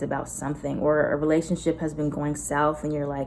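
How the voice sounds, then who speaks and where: A woman's very deep, low voice with an American accent at a fairly quick pace. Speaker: tarot reader. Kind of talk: tarot reading to camera. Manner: animated.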